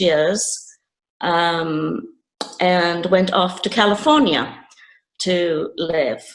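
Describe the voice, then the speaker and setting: In a room with audible echo, a woman speaks at a very slow pace in a fairly low voice with ordinary pitch variation. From England, Nottingham. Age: 70s. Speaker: retired teacher, interview guest. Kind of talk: interview.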